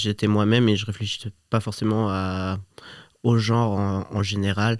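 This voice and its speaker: A man speaks at a fairly low pitch in a monotone, flat intonation and at a moderate pace. The recording is very clean with a silent background. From Switzerland (Geneva). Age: 30s. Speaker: podcast guest. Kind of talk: interview conversation. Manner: halting, many hesitations.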